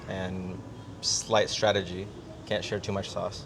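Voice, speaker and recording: With an American accent, a man speaks in a fairly low, monotone, flat voice, and the room echo is audible. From United States. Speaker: business coach, podcast co-host. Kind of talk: casual chat.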